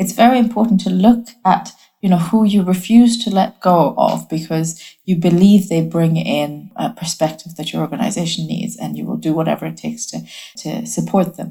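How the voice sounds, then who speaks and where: Her voice sits fairly low for a woman, with a dark, mellow tone and vocal fry. She keeps a moderate pace and ordinary pitch variation. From Bangladesh and Hong Kong. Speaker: creative strategy leader. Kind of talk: interview. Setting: home office.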